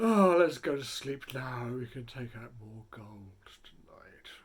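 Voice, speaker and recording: A put-on character voice at low-to-middle pitch and a fairly slow pace. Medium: read story. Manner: greedy, scheming.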